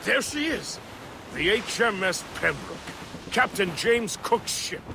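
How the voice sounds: Against clear background noise, a man does a put-on character voice that is high-pitched with vocal fry, big pitch swings and a slow pace.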